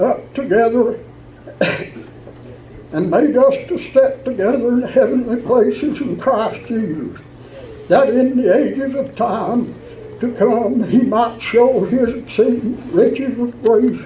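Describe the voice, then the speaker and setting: A man's extremely high voice at a very slow pace with ordinary pitch variation, long, frequent pauses and noticeable background noise. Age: 80s+; old. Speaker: Old Regular Baptist church elder. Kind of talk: church letter reading with scripture.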